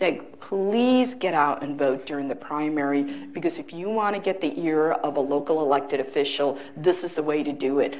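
A woman's very deep, low voice at a moderate pace. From India, raised in US from childhood. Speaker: state legislator; panelist. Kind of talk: panel discussion. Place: stage. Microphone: lapel.

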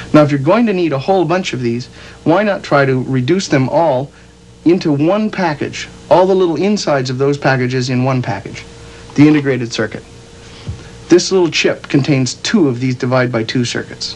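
Noticeable background noise behind a man's fairly high voice, lively in intonation and fairly quick in pace. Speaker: educational film narrator. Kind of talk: 1977 educational film narration, scripted explainer. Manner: casual, folksy, conversational; light, humorous, plain-spoken, explanatory.

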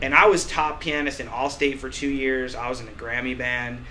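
A man with an American accent uses a plain, everyday voice at medium pitch, a moderate pace and fairly even intonation over light background noise. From US Midwest. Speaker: musician. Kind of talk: casual chat. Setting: studio. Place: office.

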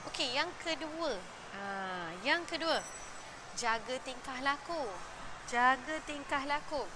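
A raised, projected voice with lively intonation comes at a very slow pace with long, frequent pauses, over noticeable background noise and audible room echo. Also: woman, high pitch for a woman. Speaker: parenting show host. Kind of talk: live-stream talk. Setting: gym during children's classes. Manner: hesitant, many fillers.

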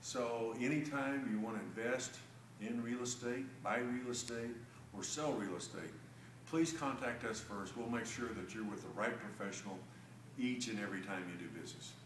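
Moderate pace and ordinary pitch variation, with light background noise and audible room echo. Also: man, medium pitch for a man. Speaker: real estate agent. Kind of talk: promotional market update video. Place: meeting room. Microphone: camera far.

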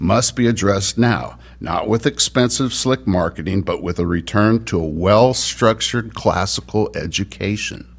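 This man's voice sits at a fairly low pitch and carries vocal fry. His intonation is lively, and he keeps a moderate pace. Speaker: citizen giving public comment. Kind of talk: prepared public comment. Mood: critical, firm. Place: meeting room. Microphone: podium.

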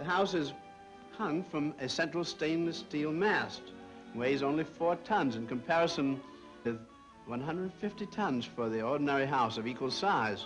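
Clear music plays behind a man talking at a moderate pace. His fairly high voice makes very wide pitch swings. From USA. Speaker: architect. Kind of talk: interview answer, presentation of a model. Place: hall.

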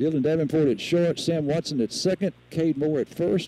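Here a man talks at a moderate pace with a fairly high pitch. He has a normal speaking voice. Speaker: radio sports commentator. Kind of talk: live radio play-by-play commentary. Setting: outdoors at a high school baseball field, live broadcast. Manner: informed, conversational asides about field and players.

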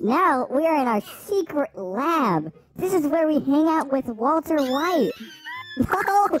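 Over faint background music, a woman uses a put-on character voice, high-pitched and fairly slow. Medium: game stream. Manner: hyper, excitable.

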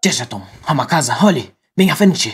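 A man puts on a raspy character voice with a fairly high pitch. He moves at a fairly quick pace. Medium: fan dub. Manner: brisk, bossy.

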